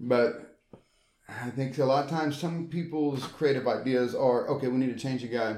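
A man with a Southern US accent talks at medium pitch in a dark, mellow tone with ordinary pitch variation. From Tennessee. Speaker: former pro wrestler and wrestling trainer. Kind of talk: casual chat. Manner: halting.

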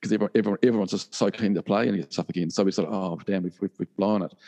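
A man with a New Zealand accent, dark, mellow tone and fairly low pitch, in a dry, close sound with no echo and a quiet background. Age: 40s. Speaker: rock musician. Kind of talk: interview. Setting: video call. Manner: hesitant, many fillers and repeats.

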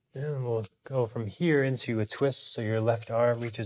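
A man speaks in an ordinary speaking voice, his medium pitch shifting in an ordinary way. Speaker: yoga teacher. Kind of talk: guided yoga class instruction.

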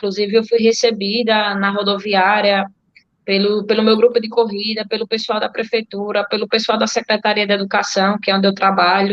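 A woman talks at a fairly quick pace with a medium pitch. Her intonation is monotone and flat. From Alagoas, Brazil (Delmiro Gouveia). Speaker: marathon runner. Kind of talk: interview. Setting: video call.

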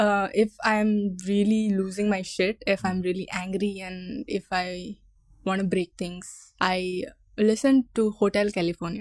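A woman with a Goan accent speaks at a fairly slow pace and a medium pitch, keeping a fairly even intonation. The sound is dry and close with no echo. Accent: Goan Indian English with Konkani words. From Goa, India. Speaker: YouTuber and content creator.

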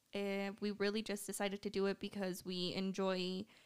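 A woman has an ordinary speaking voice at medium pitch. She talks at a moderate pace. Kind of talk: casual chat. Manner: soft-spoken.

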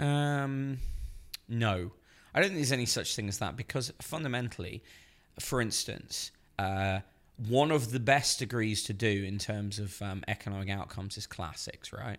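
In an English accent, a man speaks at a medium pitch and a moderate pace with ordinary pitch variation. The recording is very clean, with a silent background. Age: 30s. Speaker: journalist. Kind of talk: casual chat.

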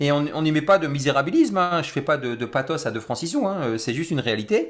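Fairly quick, lively speech from a man with a fairly high pitch. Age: 40s. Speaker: mindset coach. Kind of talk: interview.

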